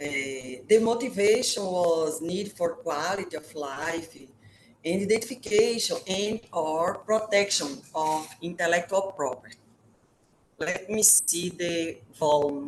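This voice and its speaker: A woman speaks at a fairly slow pace in a Brazilian Portuguese accent. Her pitch varies in an ordinary way. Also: fairly low pitch for a woman. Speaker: professor. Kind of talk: webinar presentation. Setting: video call. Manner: halting, with many filler sounds.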